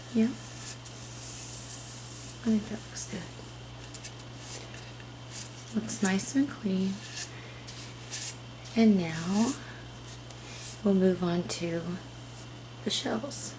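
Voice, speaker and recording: Soft-spoken and with a gentle tone, a woman talks at a very slow pace with long, frequent pauses over noticeable background noise. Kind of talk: ASMR soft-spoken soapmaking demonstration. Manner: gentle, soft-spoken.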